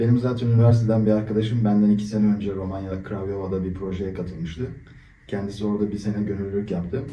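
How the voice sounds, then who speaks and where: Audible room echo surrounds a man speaking at a very fast pace in a fairly low pitch with fairly even intonation. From Turkey, Istanbul. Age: 20s. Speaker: volunteer, engineer. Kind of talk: interview. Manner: hesitant, many fillers.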